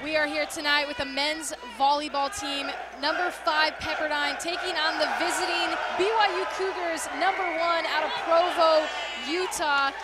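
A woman talks at a moderate pace over loud background noise, the sound dry with no echo. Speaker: sports broadcaster. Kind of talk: sports broadcast game intro. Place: stadium. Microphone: headset.

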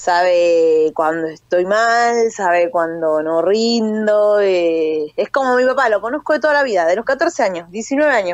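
A woman speaks fairly slowly with very wide pitch swings and very even loudness, hardly pausing. The background is quiet and the sound is dry with no echo. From Buenos Aires area, Argentina (Libertad, Merlo); Buenos Aires. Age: 30s. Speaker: professional boxer and army corporal. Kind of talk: phone interview. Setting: phone call. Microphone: phone line, dropped once; phone line.

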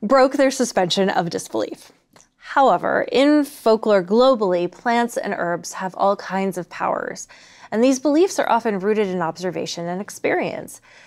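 A woman speaks with lively intonation at a moderate pace. The background is quiet. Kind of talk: lecture. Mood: lively, amused. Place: studio.

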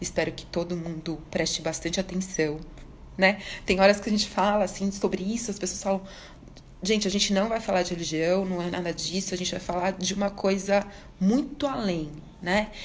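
Amid light background noise, a woman with a medium pitch and a somewhat breathy voice speaks at a moderate pace with fairly even intonation. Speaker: educational psychologist and live host; live host. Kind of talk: live stream conversation. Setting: live video stream. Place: home room. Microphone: phone near.

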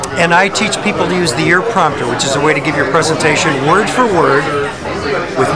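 Loud background noise behind a man going at a fairly quick pace. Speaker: actor and spokesman. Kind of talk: promotional soundbite at a mixer. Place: bar. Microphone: phone near.

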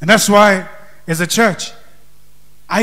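Over a quiet background, a man speaks in an energetic tone at a high pitch. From Kenya. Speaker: pastor. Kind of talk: Sunday sermon in a Kenyan church, interactive, calling for amens and congregation input. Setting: church with congregation and microphones. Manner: energetic preacher's exhortation, rising to call-and-response; loose, conversational, switching into Swahili. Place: church. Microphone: handheld.

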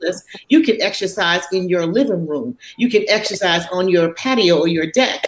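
With an American accent, the speaker keeps a moderate pace and ordinary pitch variation, amid light background noise and audible room echo. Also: woman. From Chicago, US Midwest. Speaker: physician; panelist. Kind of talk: panel discussion.

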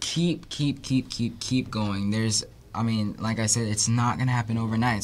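This man speaks with an American accent at a moderate pace. His pitch is medium. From Texas, Houston. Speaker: singer; guest. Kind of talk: interview. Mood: friendly, upbeat. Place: studio. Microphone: studio mic.

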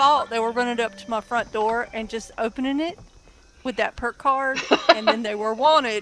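A woman with a Southern US accent speaks at a high pitch with ordinary pitch variation. Music plays in the background. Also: moderate pace. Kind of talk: casual gaming chat.

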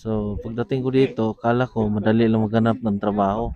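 With monotone, flat intonation, the man keeps a medium pitch and a moderate pace. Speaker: immigrant worker. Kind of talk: interview. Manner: halting.

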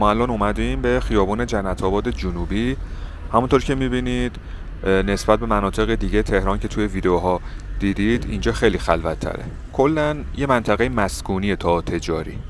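A man with a very deep, low voice talks at a fairly quick pace, swinging his pitch very widely. The sound is dry with no echo, over light background noise. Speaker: travel vlogger. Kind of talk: casual vlog narration. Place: street. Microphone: phone near.

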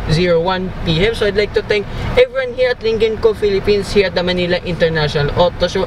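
Noticeable background noise surrounds a man speaking at a fairly quick pace in a high pitch, with a dry sound and no echo. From Philippines. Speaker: car reviewer. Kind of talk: car review while driving. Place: car. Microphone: phone near.

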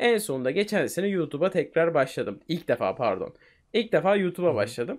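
A man talks with a high pitch and very wide pitch swings. The background is quiet. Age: 20s. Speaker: gaming streamer and YouTuber; gaming streamer, YouTuber. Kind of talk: casual interview chat. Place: home room. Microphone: studio mic.

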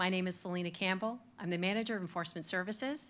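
Talking at a very fast pace, a woman uses ordinary pitch variation. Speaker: facilitator. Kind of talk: formal meeting address. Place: hall. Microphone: podium.

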